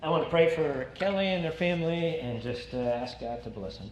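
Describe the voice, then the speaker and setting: A man speaks at a moderate pace with ordinary pitch variation. He has an unremarkable speaking voice. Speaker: pastor. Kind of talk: sermon introduction and closing prayer. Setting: church.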